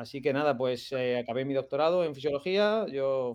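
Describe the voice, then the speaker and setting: Here a man talks at a fairly high pitch. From Murcia, Spain (Lorca). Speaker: sports science researcher. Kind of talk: live-streamed interview.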